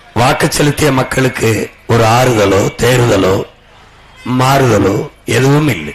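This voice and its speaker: A man talks at a medium pitch while noticeable background noise runs through the clip. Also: ordinary pitch variation. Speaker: political leader giving a campaign speech. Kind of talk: political campaign speech to a crowd. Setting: outdoors, public address system at a campaign vehicle rally. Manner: fiery, rhetorical, declamatory.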